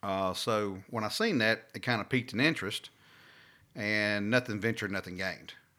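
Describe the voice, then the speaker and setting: In a Southern US accent, a man speaks at a moderate pace with a bright, sharp tone and a fairly low pitch. His intonation is fairly even, and the recording is very clean with a silent background. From Louisiana, south of Alexandria. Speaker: fleet manager. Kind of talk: casual interview.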